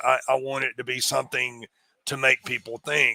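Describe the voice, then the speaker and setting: In a strong Appalachian accent, a man speaks at a moderate pace and medium pitch with a bright, sharp tone and monotone, flat intonation, the sound dry and close with no echo. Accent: thick Appalachian. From US Appalachia, North Carolina. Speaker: executive recruiter and part-time comedian. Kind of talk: interview. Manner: halting, many repetitions.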